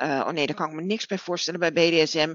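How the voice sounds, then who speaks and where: A woman's fairly low-pitched voice. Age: 40s. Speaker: BDSM practitioner. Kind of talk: casual chat. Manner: halting.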